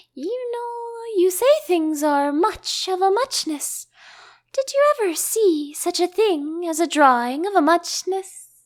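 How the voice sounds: Using a put-on character voice at an extremely high pitch, a woman talks slowly with lively intonation.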